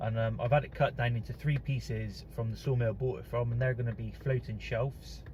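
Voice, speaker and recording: This is a man's voice. He has a Bristolian accent. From England, Bristol area (South Gloucestershire). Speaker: DIY woodworking YouTuber. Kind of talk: casual vlog. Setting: in a car.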